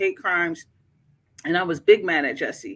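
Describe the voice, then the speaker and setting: Lively in intonation, a woman with a fairly low pitch speaks at a moderate pace. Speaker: YouTube live streamer. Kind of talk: casual live stream chat. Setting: at work, live stream. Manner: subdued, kept down.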